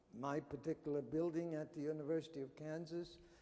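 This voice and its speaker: A man speaks in a dark, mellow tone at a fairly high pitch. Audible echo fills the room. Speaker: anthropology professor. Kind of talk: conference talk.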